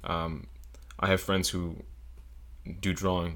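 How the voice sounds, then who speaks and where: This man has a very deep, low pitch and an American accent. He talks at a fairly slow pace. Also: very clean recording, silent background. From South Florida (Broward County). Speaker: engineering student. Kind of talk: casual interview chat.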